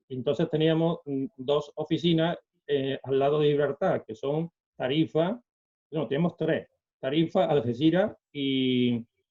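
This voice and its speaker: A man's fairly high voice, fairly slow in pace, with ordinary pitch variation. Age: 60s. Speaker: retired bank employee and celiac association volunteer. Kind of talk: interview. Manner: halting, many fillers.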